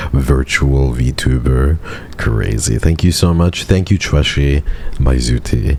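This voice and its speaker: Soft-spoken and very deep in pitch, a man talks against noticeable background noise. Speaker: vtuber streamer. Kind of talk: live stream chat.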